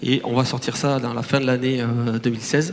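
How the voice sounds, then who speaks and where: At a moderate pace, the man talks while background noise is clearly noticeable. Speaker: startup director. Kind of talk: conference talk. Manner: hesitant, many fillers and repetitions.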